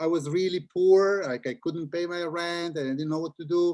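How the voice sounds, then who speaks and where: A man's high-pitched voice with an Italian accent. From Italy (Milan). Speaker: children's book author and illustrator. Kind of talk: interview talk with audience. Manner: halting, repeats words.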